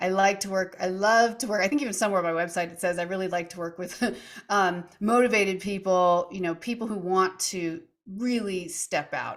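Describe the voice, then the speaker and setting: In a very clean recording with a silent background, a woman talks at a fairly quick pace and medium pitch, her intonation fairly even but her loudness swinging widely. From US West Coast. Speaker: wellness coach. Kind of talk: podcast interview.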